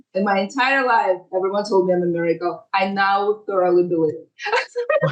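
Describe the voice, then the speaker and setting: Holding very even loudness, a woman speaks at a medium pitch with a non-native accent and ordinary pitch variation. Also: moderate pace. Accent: foreign. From Ukraine and other places, moved to US at 13. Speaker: tech lawyer. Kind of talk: podcast interview.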